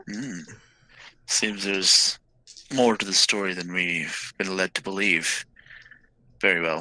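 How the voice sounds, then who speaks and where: In a put-on character voice with a very deep, low pitch, a man speaks at a fairly slow pace with fairly even intonation and long, frequent pauses, in a dry, close sound with no echo. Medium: actual play. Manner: formal, measured.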